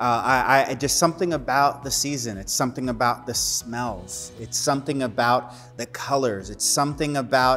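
Faint music plays in the background as a man speaks. His pace is moderate, his pitch variation ordinary, and he takes hardly any pauses. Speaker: pastor. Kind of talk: sermon. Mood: warm, upbeat. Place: studio.

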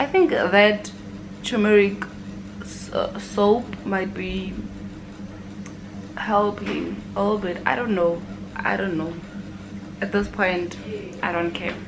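Noticeable background noise sits behind a woman's speech. Her loudness swings widely, and she leaves long, frequent pauses. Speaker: university student vlogger. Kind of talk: casual vlog chat. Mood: relaxed, lazy Sunday. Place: home room.

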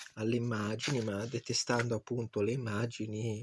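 A man's voice is somewhat breathy. He speaks at a moderate pace. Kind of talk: poet reading aloud. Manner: halting, hesitant, with repeated words and self-corrections.

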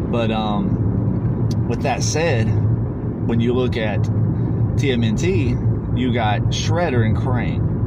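A man talks over loud background noise. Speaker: vlogger. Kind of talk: casual vlog chat. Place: car. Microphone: phone near.

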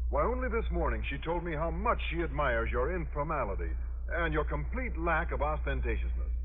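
The delivery is monotone and flat. Light background noise sits underneath. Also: man. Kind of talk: old-time radio comedy acting, scripted sitcom. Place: studio. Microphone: old recording.

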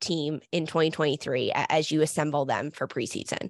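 The woman's voice sounds dry, with no echo, against a quiet background. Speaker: soccer broadcaster and analyst, former player. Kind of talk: interview. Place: home room. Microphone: studio mic.

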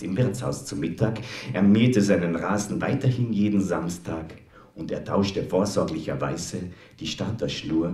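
Someone gives a plain reading aloud of the text.

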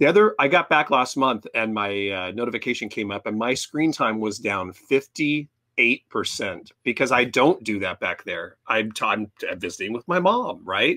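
An ordinary speaking voice from a man at a medium pitch keeps a moderate pace with hardly any pauses against a quiet background. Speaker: podcast co-host. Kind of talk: casual chat. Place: home room. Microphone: headset.

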